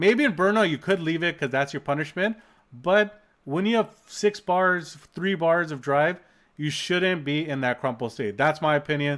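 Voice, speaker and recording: An animated tone with ordinary pitch variation at a moderate pace, on a very clean recording with a silent background. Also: man, fairly high pitch for a man. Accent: Canadian. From Canada, Toronto. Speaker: streamer reacting to game video. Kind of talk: casual live-stream commentary.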